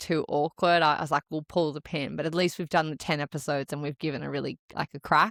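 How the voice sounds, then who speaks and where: At a very fast pace, a woman speaks in a dry, close sound with no echo. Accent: Australian. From Australia. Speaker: podcast co-host and marathon runner. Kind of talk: casual chat. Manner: relaxed.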